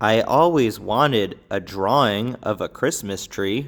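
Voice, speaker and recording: Using a put-on character voice, a man speaks at a medium pitch and a fairly slow pace on a very clean recording with a silent background. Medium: read story. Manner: eager, bouncy.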